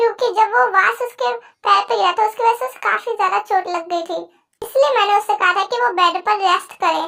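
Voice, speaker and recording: The pitch is extremely high in this put-on character voice. Its pace is fairly quick. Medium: read story. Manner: patient, earnest.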